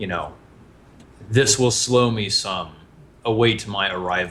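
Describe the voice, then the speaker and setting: Putting on a booming character voice, a man speaks fairly slowly at a fairly low pitch. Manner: ominous, commanding.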